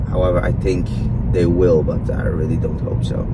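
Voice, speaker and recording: A man speaks over loud background noise. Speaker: fitness vlogger. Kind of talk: casual vlog chat. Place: car. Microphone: phone near.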